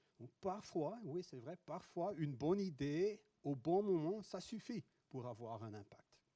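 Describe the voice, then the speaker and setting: Slow-ish and with a Dutch accent, a man speaks in a dark, mellow tone at a high pitch, his voice swinging very widely in pitch and sharply in loudness. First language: Dutch (speaking French). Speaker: professor. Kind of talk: conference talk. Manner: halting.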